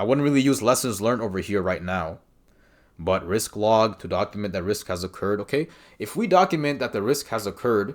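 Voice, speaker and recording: The man has a non-native accent and very wide pitch swings. He speaks at a fairly quick pace against a quiet background. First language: not English. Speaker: exam prep coach. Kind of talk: tutorial. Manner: casual, conversational with fillers. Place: home room. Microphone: webcam.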